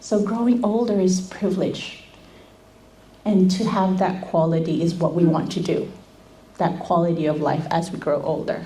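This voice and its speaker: A woman with a medium pitch speaks at a moderate pace with ordinary pitch variation, a dark, mellow tone and a somewhat breathy quality. Audible room echo surrounds her. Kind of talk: seminar talk.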